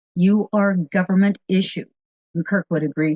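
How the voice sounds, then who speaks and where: Fairly slow, somewhat breathy speech comes in an American accent. The sound is dry and close, with no echo. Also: woman. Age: 70s. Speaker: radio producer. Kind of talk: interview.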